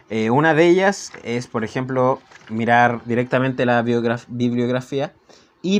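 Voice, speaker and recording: In a Chilean accent, a man speaks at a fairly slow pace with a medium pitch and lively intonation. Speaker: book reviewer. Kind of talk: casual book review. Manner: halting.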